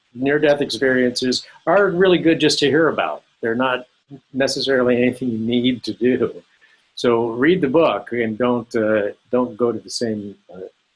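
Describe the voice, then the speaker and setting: A man with an American accent speaks at a medium pitch and a moderate pace with ordinary pitch variation. He has an ordinary speaking voice. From Southern California. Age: 60s. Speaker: author and former illustrator. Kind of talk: interview.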